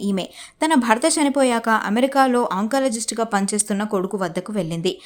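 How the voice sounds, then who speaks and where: With an ordinary speaking voice, a woman talks at a fairly high pitch with ordinary pitch variation. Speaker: news narrator. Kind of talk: TV news narration.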